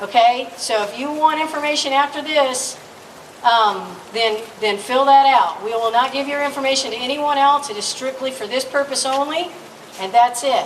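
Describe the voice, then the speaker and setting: A loud woman's high voice at a moderate pace, ordinary pitch variation, audible room echo and noticeable background noise. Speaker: rally emcee. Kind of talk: public address at rally. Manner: energetic.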